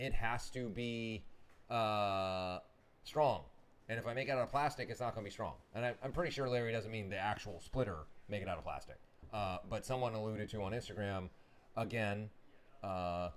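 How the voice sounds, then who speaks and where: The speaker keeps a moderate pace with ordinary pitch variation. Long pauses come often. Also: man, fairly low pitch for a man. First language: not English. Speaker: motorsport parts business owner. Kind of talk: casual live stream chat.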